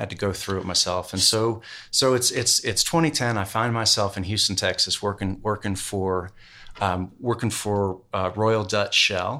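Recorded very cleanly against a silent background, a man speaks with a fairly low pitch in a bright, sharp tone. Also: ordinary pitch variation, moderate pace. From Tennessee, Knoxville. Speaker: entrepreneur, former oil and finance professional. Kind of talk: casual interview. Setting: in person, Montana. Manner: halting, many repetitions.

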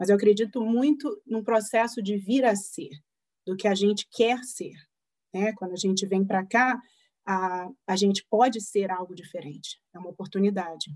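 Using a plain, everyday voice, a woman of medium pitch talks at a moderate pace with ordinary pitch variation. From Brazil, Rio de Janeiro. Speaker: psychologist. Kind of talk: interview.

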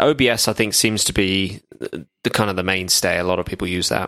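The speaker has a British accent and keeps a moderate pace. The recording is very clean, with a silent background. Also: man. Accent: British, mistaken by host for Australian. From UK. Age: 30s. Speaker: podcaster. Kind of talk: casual chat.

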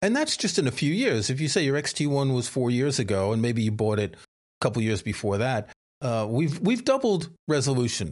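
A man has a plain, everyday voice at a medium pitch. He speaks at a moderate pace against a quiet background. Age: 60s. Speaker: photography podcast co-host. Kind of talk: casual chat.

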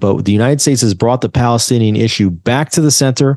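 Speaking at a fairly quick pace in a normal speaking voice, the speaker has an American accent over a quiet background. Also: man. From US, New Jersey. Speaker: journalist. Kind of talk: interview.

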